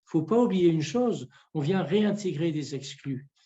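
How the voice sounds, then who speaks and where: The man's tone is dark and mellow. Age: 60s. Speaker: family constellation therapist and trainer. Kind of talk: interview. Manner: hesitant, many repetitions.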